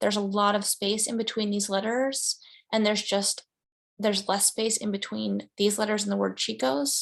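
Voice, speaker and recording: A woman speaks with a fairly high pitch. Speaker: graphic design teacher. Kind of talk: screen-share tutorial lecture. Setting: screen-shared online class. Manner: animated, casual.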